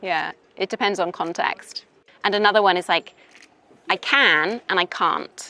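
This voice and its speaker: A woman at medium pitch with a bright, sharp tone, ordinary pitch variation, a moderate pace and long, frequent pauses, in a dry, close sound with no echo. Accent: Welsh. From Wales. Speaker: English teacher. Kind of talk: interview. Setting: outdoors in a park. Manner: casual, hesitant with fillers.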